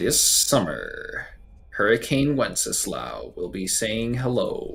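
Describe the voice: A man speaks in a put-on character voice at a very slow pace. Light background noise can be heard.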